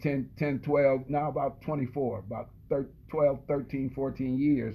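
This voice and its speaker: This man has a normal speaking voice, fairly high in pitch, and talks at a moderate pace. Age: 60s. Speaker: former football player. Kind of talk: casual chat.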